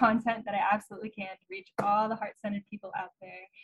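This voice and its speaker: A woman's voice is heard here. It carries a somewhat breathy quality. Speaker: breathwork practitioner. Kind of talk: casual group discussion. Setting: video call.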